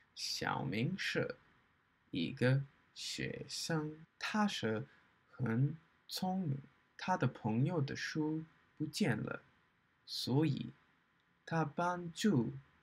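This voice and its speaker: Very slow speech with long, frequent pauses and a somewhat breathy quality. The intonation is lively. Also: man, fairly high pitch for a man. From Australia. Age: 20s. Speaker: Mandarin learner, YouTuber. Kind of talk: reading aloud / book review in learner Mandarin. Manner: slow, halting. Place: home room. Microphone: webcam.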